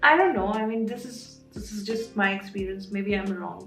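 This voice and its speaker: Speaking with an Indian accent, a woman is heard over music in the background, with audible room echo. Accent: Indian English (Hindi speaker). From India, Patna (Bihar). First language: Hindi. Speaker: artist and YouTuber, product designer. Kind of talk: casual Q&A vlog.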